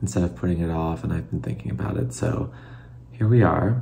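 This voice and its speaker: Amid noticeable background noise and audible room echo, a man with an American accent speaks at a very deep, low pitch with very wide pitch swings. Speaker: former figure skater turned commentator. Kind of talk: casual reaction video. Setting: at home, late at night. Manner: soft-spoken; halting, many fillers.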